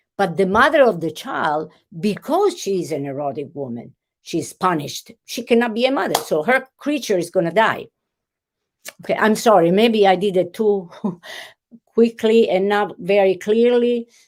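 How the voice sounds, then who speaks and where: A woman with an Italian accent at a medium pitch and moderate pace, her pitch swinging very widely. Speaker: literature professor. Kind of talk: interview. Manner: animated; halting.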